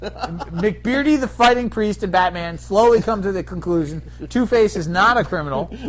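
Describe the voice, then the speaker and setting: A man speaks at a moderate pace. Noticeable background noise runs through the clip. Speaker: podcast co-host. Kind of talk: casual chat. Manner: animated.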